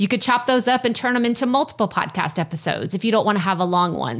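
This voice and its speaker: A woman speaks with a Texas accent. Her intonation is lively. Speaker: podcasting coach. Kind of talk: interview, casual conversation.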